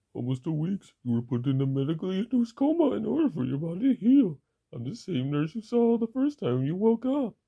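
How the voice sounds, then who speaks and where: A woman in a put-on character voice speaks at a fairly quick pace, her medium pitch swinging very widely. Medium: audio drama. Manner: reassuring.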